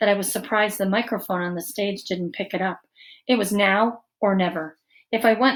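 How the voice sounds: Here is a natural reading voice. The background stays quiet.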